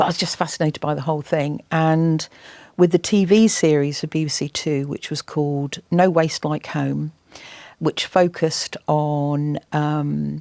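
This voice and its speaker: Someone with an English accent talks at a fairly slow pace in a dark, mellow tone with fairly even intonation, on a very clean, dry, close recording with no echo and a silent background. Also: woman, very deep, low pitch for a woman. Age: 60s. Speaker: environmental campaigner and TV presenter. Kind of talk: interview.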